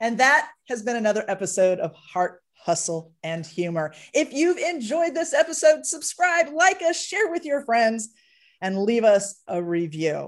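A woman speaks at a fairly high pitch with very wide pitch swings. Her pace is fairly slow. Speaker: podcast host. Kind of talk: interview. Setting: studio. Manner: high energy.

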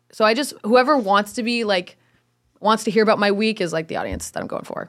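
A woman at a medium pitch and a very fast pace, on a very clean recording with a silent background. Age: 20s. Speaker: content creator. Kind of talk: casual chat. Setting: studio.

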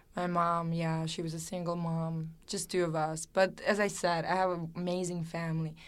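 A woman with a Serbian accent speaks at a moderate pace in a fairly low, flat monotone, hardly pausing at all. Room echo is audible. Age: 20s. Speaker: fashion model. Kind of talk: interview.

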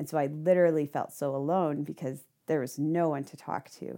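A woman with a very deep, low pitch and a dark, mellow tone is heard on a very clean recording with a silent background. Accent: American. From Indiana. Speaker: missionary, former nurse. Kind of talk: interview.

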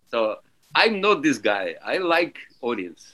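Bright and sharp in tone, a man speaks at a very slow pace. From Russia. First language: Russian. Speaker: alphorn and French horn musician. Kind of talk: interview.

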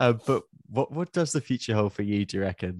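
Against a quiet background, a man talks at a moderate pace with ordinary pitch variation in a dry, close sound with no echo. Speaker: podcast co-host. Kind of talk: casual interview.

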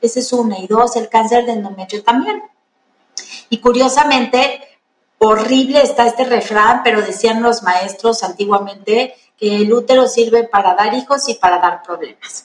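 Fairly even intonation in a normal speaking voice, at a moderate pace. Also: woman. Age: 40s. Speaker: gynecologist. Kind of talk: interview.

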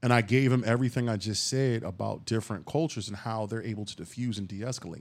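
In a very clean recording with a silent background, a man talks at a fairly quick pace and medium pitch with ordinary pitch variation. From Philadelphia, US. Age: 40s. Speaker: podcast host. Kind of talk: casual monologue. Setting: home. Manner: animated.

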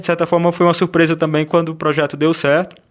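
Fairly quick speech from a man with a fairly high-pitched voice. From Ceará, Brazil (Russas). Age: 30s. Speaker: film director. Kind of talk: interview. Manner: halting, many fillers.

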